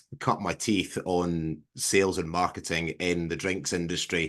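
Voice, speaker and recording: A man with a Scottish accent and a very deep, low pitch, set against a quiet background. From southwest Scotland. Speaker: farmer and agricultural marketer. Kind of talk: casual interview on a video call. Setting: video call.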